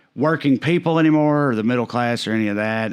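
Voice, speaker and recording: Talking at a fairly quick pace, a man's medium-pitched voice shows ordinary pitch variation. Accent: Southern US. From Tennessee. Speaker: stand-up comedian. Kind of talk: podcast interview answer. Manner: casual, conversational.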